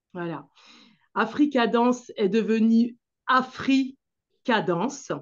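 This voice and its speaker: In a quiet setting, a woman speaks at a fairly high pitch with ordinary variation. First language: Manjak (speaking French). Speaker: dance teacher and association founder. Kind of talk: interview talk about her association. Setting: video call. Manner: hesitant, many fillers.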